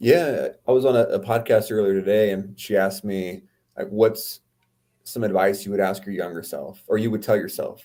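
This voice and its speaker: A man's fairly low, dark, mellow voice with a Californian accent, fairly even intonation, and a moderate pace. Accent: Californian American. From US West Coast, Oceanside California. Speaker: entrepreneur and author. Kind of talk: podcast interview.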